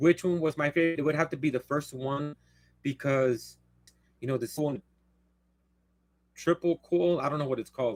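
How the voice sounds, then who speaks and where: With long, frequent pauses, a man speaks at a moderate pace in a fairly high pitch with ordinary pitch variation, the sound dry and close with no echo. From San Antonio, Texas (west side). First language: Spanish. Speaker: live streamer. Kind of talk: casual live Q&A monologue. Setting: livestream. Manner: rambling, halting.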